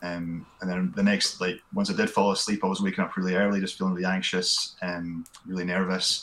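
A man with a Scottish accent, very deep and low in pitch, monotone and flat, at a fairly quick pace with hardly any pauses, over noticeable background noise. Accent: Scottish (Fife). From Scotland, Fife (Glenrothes). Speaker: podcast guest, hillwalker. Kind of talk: casual chat.

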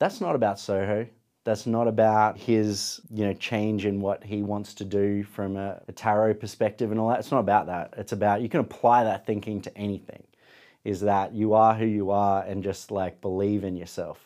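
With an Australian accent, a man speaks at a moderate pace in a fairly low pitch and a dark, mellow tone, his intonation monotone and flat, on a very clean recording with a silent background. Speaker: photographer and podcaster. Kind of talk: casual interview chat. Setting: studio.

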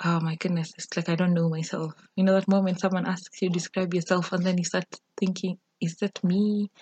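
Somewhat breathy and in a monotone, flat intonation, a woman talks at a moderate pace and medium pitch, in a dry, close sound with no echo. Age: 20s. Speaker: podcast host. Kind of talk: solo podcast intro monologue. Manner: casual, hesitant with fillers.

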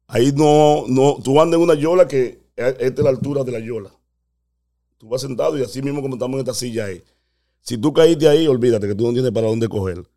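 A man speaks very fast in a medium pitch with ordinary pitch variation. His tone is dark and mellow, with big swings in loudness. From Dominican Republic. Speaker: immigrant telling his story. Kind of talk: storytelling in casual chat.

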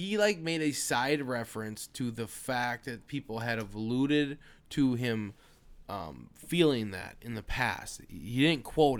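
A man with a plain, everyday voice and an American accent talks at a fairly slow pace with a medium pitch and lively intonation. The recording is very clean, with a silent background. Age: 20s. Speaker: podcast co-host. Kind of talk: casual chat.

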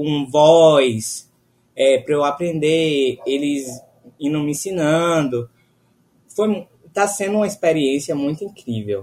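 Pausing long and often, a man speaks at a very slow pace and a fairly high pitch, with ordinary pitch variation. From Bahia, Brazil. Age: 20s. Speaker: law student. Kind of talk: casual chat.

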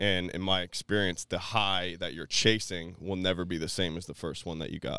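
A man with an American accent and a very deep, low pitch speaks at a moderate pace with hardly any pauses, his intonation monotone and flat and his tone bright and sharp, in a very clean, dry, close recording with a silent background and no echo. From Florida, Tampa Bay area. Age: 30s. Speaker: recovery speaker. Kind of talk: personal testimony.

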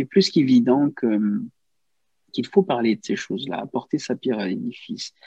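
A man talks at a moderate pace with long, frequent pauses, his dark, mellow tone moving through very wide pitch swings and big shifts in loudness. The sound is dry and close, with no echo. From Cameroon. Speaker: journalist. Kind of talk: interview conversation. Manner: halting, many repetitions.

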